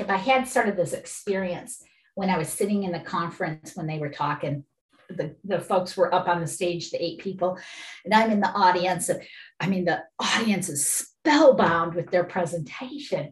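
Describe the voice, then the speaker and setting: With an American accent, a somewhat breathy woman at a medium pitch speaks at a moderate pace with lively intonation and long, frequent pauses. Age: 60s. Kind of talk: casual interview. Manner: animated, enthusiastic.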